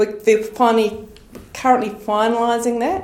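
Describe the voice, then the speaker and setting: The speaker has a New Zealand accent. There is audible room echo along with noticeable background noise. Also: woman. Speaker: agricultural research manager. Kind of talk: podcast interview.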